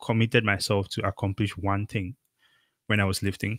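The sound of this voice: At a moderate pace, a man with a Cameroonian accent talks in a fairly bright tone with little pitch movement. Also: fairly low pitch for a man, dry, close sound with no echo.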